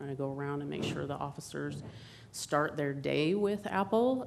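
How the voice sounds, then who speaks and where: At a moderate pace, a woman speaks with a very deep, low pitch and ordinary pitch variation, with audible room echo. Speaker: police victim advocate. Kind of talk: staff presentation to council. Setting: council chambers.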